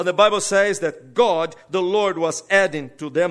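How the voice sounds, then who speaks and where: A man's high-pitched voice with a Brazilian accent. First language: Portuguese. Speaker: pastor. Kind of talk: sermon. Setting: church.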